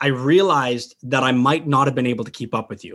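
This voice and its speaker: On a very clean recording with a silent background, a man with an American accent talks fairly quickly in a fairly high pitch, an unremarkable speaking voice. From Dubai, then US. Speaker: hunter. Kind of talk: casual chat.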